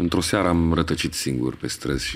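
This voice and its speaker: A man holds a moderate pace while noticeable background noise runs underneath. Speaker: poetry reader. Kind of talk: poem reading, audio poetry.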